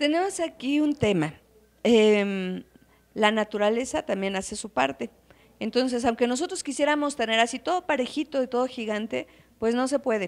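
A woman with a central Mexican accent speaks at a high pitch with lively intonation. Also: moderate pace. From Calpan, Puebla, Mexico; Puebla, Mexico. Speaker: hotel and restaurant owner, traditional cook. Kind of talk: interview. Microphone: handheld.

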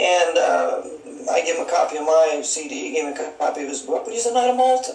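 A man with an American accent talks very fast, his pitch swinging very widely. Audible room echo and noticeable background noise are present. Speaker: author and conspiracy researcher. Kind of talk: interview.

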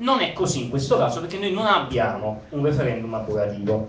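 Moving at a fairly quick pace, a man's medium-pitched voice makes very wide pitch swings. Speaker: participant with legal/procedural expertise. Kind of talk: public assembly speech.

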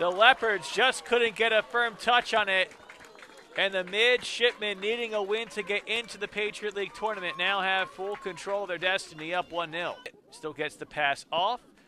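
Over noticeable background noise, a man speaks in a raised, projected voice, high in pitch, with ordinary pitch variation. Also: moderate pace. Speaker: soccer play-by-play commentator. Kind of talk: live sports commentary.

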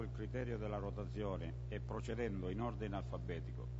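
Speaking at a moderate pace through noticeable background noise, a man has a very deep, low pitch. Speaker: council member reading a report. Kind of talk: formal reading of an official text. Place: hall. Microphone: podium.

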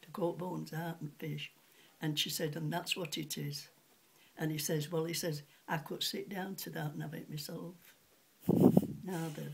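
With a Yorkshire accent and vocal fry, a woman speaks at a moderate pace in a very deep, low, monotone, flat voice with long, frequent pauses over noticeable background noise. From Sheffield, England; England. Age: 80s+. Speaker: retired cutlery polisher; elderly storyteller. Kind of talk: interview answer. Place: home room. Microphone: phone near.

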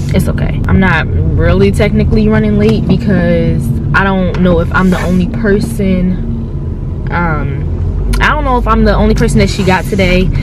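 A woman at a moderate pace, dry sound with no echo, loud background noise. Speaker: vlogger. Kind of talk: casual vlog chat. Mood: chatty, a bit nervous. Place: car. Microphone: phone near.

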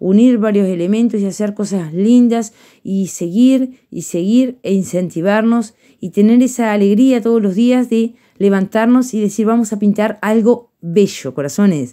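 A woman talks at a fairly slow pace in a dark, mellow tone against a quiet background. Her fairly high pitch shows ordinary variation. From Uruguay. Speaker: painting teacher. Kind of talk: tutorial. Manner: warm, affectionate. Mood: warm, affectionate. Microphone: phone near.

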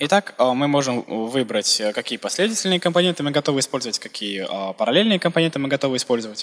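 A man speaks very fast with lively intonation. Noticeable background noise sits behind him. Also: fairly high pitch for a man. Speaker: Russian interpreter. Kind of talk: simultaneous interpretation of a presentation. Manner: hesitant, filler words.

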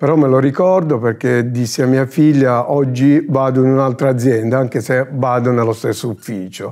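Over a quiet background, a man speaks with a dark, mellow tone. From Bari, southern Italy; Italy. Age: 60s. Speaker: application support employee. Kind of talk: corporate interview. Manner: halting. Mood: calm, friendly. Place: studio. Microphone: lapel.

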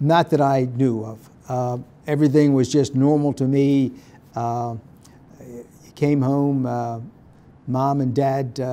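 A man's slow, flat monotone in an American accent, dark and mellow in tone, with long, frequent pauses. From southern New Jersey. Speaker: retired state supreme court justice. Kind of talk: elder life story: calm, reflective oral-history interview recalling family and boyhood. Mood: calm, reflective. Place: meeting room.

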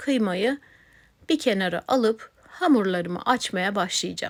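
In a very clean recording with a silent background, a woman speaks with lively intonation. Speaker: cooking channel host. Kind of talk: cooking tutorial. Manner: slow.

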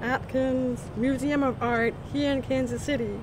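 Speaking at a fairly slow pace, a woman with a high pitch keeps her intonation fairly even, the sound dry with no echo but with noticeable background noise. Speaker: museum coordinator of deaf cultural programs. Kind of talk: event invitation to camera. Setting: outdoors. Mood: friendly, upbeat. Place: garden.

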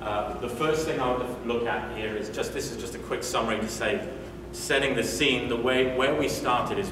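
With a British accent, a man speaks at a medium pitch and moderate pace with ordinary pitch variation, amid noticeable background noise and audible room echo. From UK. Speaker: agile coach and conference speaker. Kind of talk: conference talk. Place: meeting room. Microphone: camera far.

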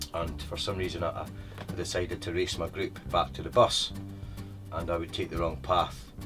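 A man's very deep, low voice in an eastern Scottish accent, with ordinary pitch variation, a moderate pace and clear music in the background. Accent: east coast Scottish. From Scotland, east coast. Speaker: tour guide. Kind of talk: interview answer. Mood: warm, storytelling, smiling. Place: car.

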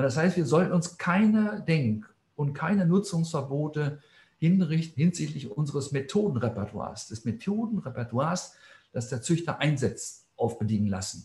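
There is audible room echo around a man whose somewhat breathy, fairly high voice swings very widely in pitch. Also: moderate pace. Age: 60s. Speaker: plant scientist; scientist lecturer. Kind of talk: lecture. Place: office. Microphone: webcam.

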